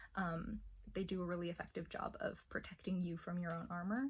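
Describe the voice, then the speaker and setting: A soft-spoken woman talks at a moderate pace in a somewhat breathy voice. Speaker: armored combat practitioner. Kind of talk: ASMR roleplay.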